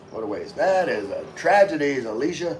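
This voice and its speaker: With an American accent, a man talks in a space with audible room echo. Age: 50s. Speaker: vlogger, navy veteran. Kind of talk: livestream chat reading comments. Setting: outdoors.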